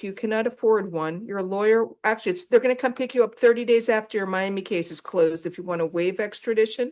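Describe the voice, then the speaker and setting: A woman's normal speaking voice, fairly high in pitch and fairly quick in pace, over a quiet background. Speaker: judge. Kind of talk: courtroom hearing. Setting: courtroom.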